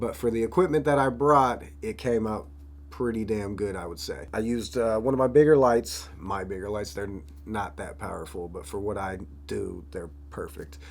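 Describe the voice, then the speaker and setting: A man with an American accent at a moderate pace, fairly low in pitch, with big swings in loudness, very wide pitch swings and audible room echo. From Florida. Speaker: rapper and videographer. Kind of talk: vlog narration. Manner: casual.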